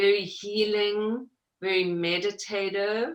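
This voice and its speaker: A woman's very slow, medium-pitched speech with a slight South African accent. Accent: South African, slight after 30 years in US. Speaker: mixed media artist. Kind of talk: interview.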